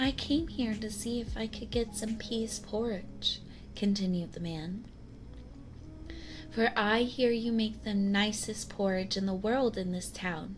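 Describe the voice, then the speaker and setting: Over music in the background, a soft-spoken woman talks in a gentle tone at a fairly slow pace, her fairly high pitch showing ordinary variation. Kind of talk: ASMR story reading, soft-spoken. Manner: soft-spoken, slow, gentle.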